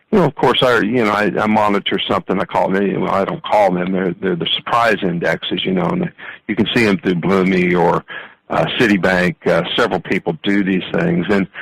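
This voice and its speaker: The sound is dry and close, with no echo. A fairly low-voiced man speaks at a fairly quick pace with ordinary pitch variation. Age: 60s. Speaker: bond trader, investment firm vice president. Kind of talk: interview. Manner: halting, many fillers and repeats.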